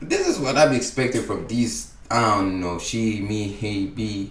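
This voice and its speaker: With lively intonation and a moderate pace, a man speaks amid noticeable background noise and audible room echo. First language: not English. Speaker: YouTube reactor. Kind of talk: reaction commentary. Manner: halting.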